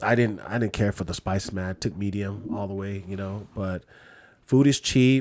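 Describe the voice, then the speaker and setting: In a plain, everyday voice, a man speaks with ordinary pitch variation. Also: very clean recording, silent background. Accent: American. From California, Lao American. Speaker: podcast host. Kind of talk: casual chat.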